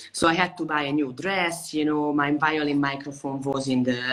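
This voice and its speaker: A woman speaks at a moderate pace with a Hungarian accent. Her pitch is very deep and low, and background noise is noticeable. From Hungary, Budapest. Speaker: violinist. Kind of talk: interview. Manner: animated.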